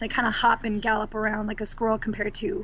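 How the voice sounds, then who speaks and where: The speech races along very fast over noticeable background noise. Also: woman. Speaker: zoo educator, field correspondent. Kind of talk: casual interview chat. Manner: animated.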